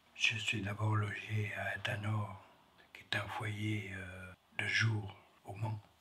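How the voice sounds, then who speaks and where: A man speaks very slowly at a fairly low pitch, monotone and flat, with long, frequent pauses. Audible room echo and noticeable background noise surround him. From France. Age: 70s. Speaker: foyer resident. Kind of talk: testimony.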